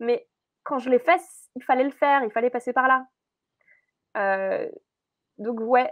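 A woman speaks with lively intonation in a high voice. The background is quiet. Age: 20s. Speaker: entrepreneur and emotional wellness coach; emotional wellness coach. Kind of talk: podcast interview. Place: office.

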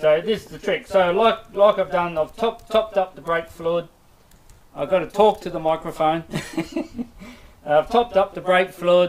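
A mumbling man at a moderate pace, high-pitched, with fairly even intonation and long, frequent pauses. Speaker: motorcycle mechanic demonstrating servicing. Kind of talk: live stream tutorial. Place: workshop. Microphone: muffled, far from the microphone.

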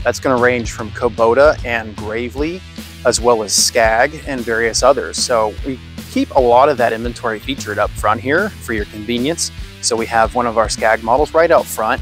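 Over faint music in the background, a man talks at a fairly quick pace with ordinary pitch variation and a dry sound with no echo. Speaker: presenter. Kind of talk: casual walkthrough tour. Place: street. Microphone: phone near.

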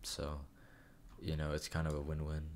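A man speaks at a moderate pace in a very deep, low pitch. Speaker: YouTuber. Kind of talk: casual talk to camera. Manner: hesitant, stuttering, many fillers.

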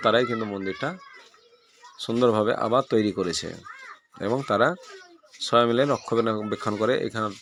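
The speaker is a man with a plain, everyday voice. His pitch is medium. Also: fairly even intonation. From West Bengal, Birbhum district. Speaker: village vlogger. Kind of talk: travel vlog narration.

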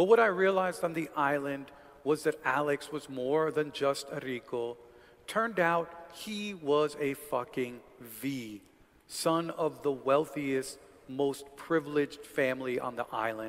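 Fairly slow delivery from a man, pitch moving in an ordinary way. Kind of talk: literary reading aloud. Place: hall. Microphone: headset.

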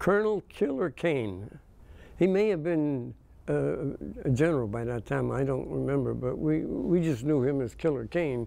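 With lively intonation and a dark, mellow tone, a man talks at a moderate pace. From western Pennsylvania. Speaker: war veteran. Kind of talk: oral history interview. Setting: museum interview on video. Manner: halting. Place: studio. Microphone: lapel.

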